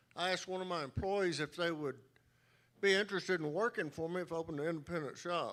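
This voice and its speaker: A man with a Texan accent and a high pitch talks at a very fast pace with fairly even intonation. The recording is very clean, with a silent background. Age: 60s. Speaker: auto shop owner, award recipient. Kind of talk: acceptance speech.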